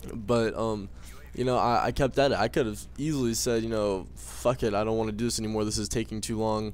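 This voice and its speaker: This is a man's voice. The intonation holds fairly even throughout. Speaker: YouTube gaming commentator. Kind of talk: casual monologue commentary. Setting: home recording, drinking tea. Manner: casual, rambling, filler-heavy; low energy, less happy-sounding.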